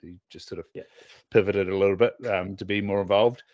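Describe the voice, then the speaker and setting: The voice comes with a Southland New Zealand accent against a quiet background, in a dry, close sound with no echo. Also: man. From southern New Zealand. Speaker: optometrist and podcast host. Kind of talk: casual chat.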